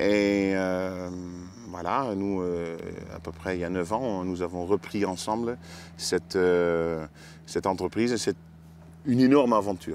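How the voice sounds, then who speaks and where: With a slight Dutch accent and a very deep, low pitch, a man speaks at a fairly slow pace with long, frequent pauses on a very clean recording with a silent background. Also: ordinary pitch variation. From Netherlands. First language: Dutch (speaking French). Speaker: oyster farmer. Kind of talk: casual interview. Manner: halting, many hesitations.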